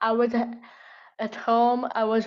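A woman with an Italian accent, fairly high-pitched, at a very slow pace. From Italy. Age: 18. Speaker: activist. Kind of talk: interview. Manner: halting.

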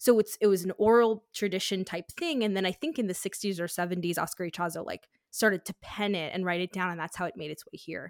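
A woman with a plain, everyday voice talks at a fairly quick pace with hardly any pauses, her medium pitch showing ordinary variation. Her loudness swings widely, and the sound is dry and close with no echo. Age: 20s. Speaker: life coach. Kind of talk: casual chat.

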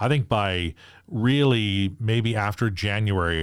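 This is a man speaking. He talks with a Canadian accent. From Saskatchewan and British Columbia, Canada. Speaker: sports radio host. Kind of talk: casual interview. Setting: in person in host's sports room. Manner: repeats and restarts words.

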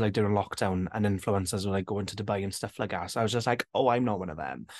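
This man has a South Wales Valleys accent. He talks very fast in a fairly low pitch. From south Wales Valleys, Rhondda. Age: 20s. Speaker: drag queen and TikToker. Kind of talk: casual chat.

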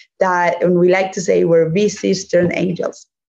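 With a Spanish accent, the speaker moves along at a fairly slow pace. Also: woman. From Spain. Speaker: venture capital investor. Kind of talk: interview.

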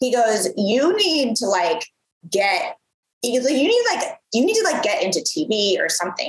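Speaking in an American accent, a woman lets her pitch swing very widely. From US Midwest. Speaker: entrepreneur, former TV presenter. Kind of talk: interview, casual chat.

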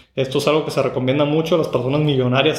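Audible room echo surrounds a man speaking at a fairly high pitch with fairly even intonation. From Mexico, Tijuana. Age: 30s. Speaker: podcast host. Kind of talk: solo podcast monologue. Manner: halting, with fillers and repeated words.

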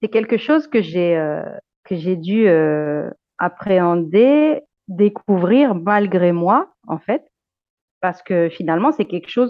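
A woman's fairly low voice with lively intonation. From Luxembourg, Argentine heritage. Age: 30s. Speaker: teacher. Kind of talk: interview testimony. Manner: hesitant, repeats words.

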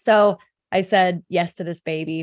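Here is a normal speaking voice with fairly even intonation. The recording is very clean and dry, with a close sound, a silent background and no echo. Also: woman. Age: 40s. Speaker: faith-based business coach and founder. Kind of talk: casual interview.

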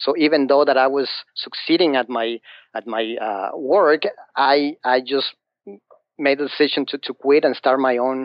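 A man with a Mexican accent, medium pitch and a moderate pace. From Mexico City. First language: Spanish. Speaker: financial advisor. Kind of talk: interview. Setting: phone call. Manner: halting.

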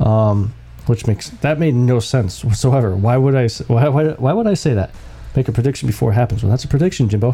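Fairly quick, somewhat breathy delivery with very even loudness, ordinary pitch variation and a dark, mellow tone. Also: man, medium pitch for a man. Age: 40s. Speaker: sports podcast host. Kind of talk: casual solo commentary. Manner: halting, many fillers.

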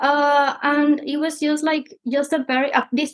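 A woman talks in a high-pitched voice. She has a Spanish accent. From Mexico. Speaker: PhD candidate. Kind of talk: casual interview.

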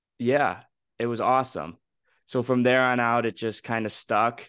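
Medium-pitched man with an American accent against a quiet background. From Chicago South Side. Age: 20s. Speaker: student radio podcaster. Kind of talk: casual chat. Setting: video call.

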